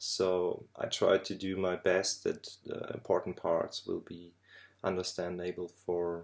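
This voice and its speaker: The pace is fairly slow. The speaker has a non-native accent. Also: very clean recording, silent background. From Germany. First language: German. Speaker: drone videographer. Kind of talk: tutorial. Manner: halting.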